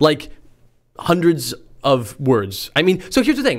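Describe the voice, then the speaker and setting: Man with vocal fry, a fairly high pitch, very wide pitch swings and a moderate pace. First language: Spanish. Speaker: podcast host and game designer. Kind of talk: casual chat.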